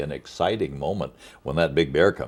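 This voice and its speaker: On a very clean recording with a silent background, a man with vocal fry talks at a moderate pace. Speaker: TV show host, interviewer. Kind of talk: interview questions.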